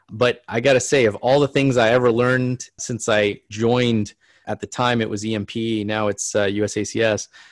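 In a very clean recording with a silent background and a dry, close sound with no echo, a man speaks at a medium pitch with fairly even intonation in an ordinary speaking voice. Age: 40s. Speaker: chief medical officer, emergency physician. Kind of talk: casual interview.

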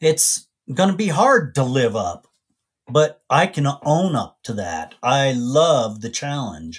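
A somewhat breathy man's voice, fairly high in pitch with very wide pitch swings, at a very slow pace on a very clean recording with a silent background. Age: 50s. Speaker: podcast host. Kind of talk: solo monologue.

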